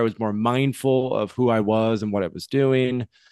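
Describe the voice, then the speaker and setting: A man's medium-pitched voice, dry and close with no echo, over a quiet background. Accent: American. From US Midwest (West Michigan, Grand Rapids). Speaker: psychedelics educator and entrepreneur. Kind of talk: interview conversation.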